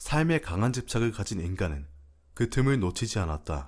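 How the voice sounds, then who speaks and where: Very wide pitch swings mark a man's fairly low voice at a moderate pace in a very clean recording with a silent background. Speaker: voice actor. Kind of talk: story reading.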